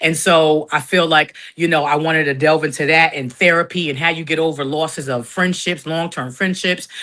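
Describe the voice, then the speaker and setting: A woman's very deep, low voice with a bright, sharp tone, fairly even intonation, a fairly quick pace and hardly any pauses. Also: quiet background. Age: 50s. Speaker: podcaster and content creator. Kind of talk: interview.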